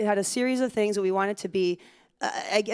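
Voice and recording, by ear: The clip is reading aloud in a natural voice, with ordinary pitch variation.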